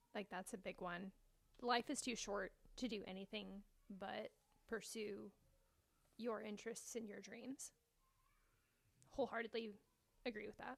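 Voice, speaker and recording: A woman with a fairly high pitch, fairly even intonation and long, frequent pauses. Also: moderate pace. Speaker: podcast co-host. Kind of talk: casual podcast chat. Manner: calm, gentle.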